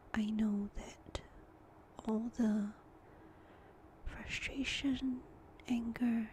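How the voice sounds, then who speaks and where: Over noticeable background noise, a woman with a fairly high pitch speaks very slowly in a flat monotone, with long, frequent pauses. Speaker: stay-at-home mom. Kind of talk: ASMR whispered chit-chat. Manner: whispered; soft-spoken, slow.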